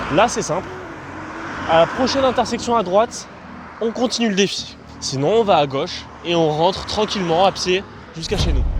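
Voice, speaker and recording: Amid noticeable background noise, a man talks at a moderate pace in a high pitch with ordinary pitch variation and long, frequent pauses. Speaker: youtuber. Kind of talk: casual vlog. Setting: outdoors.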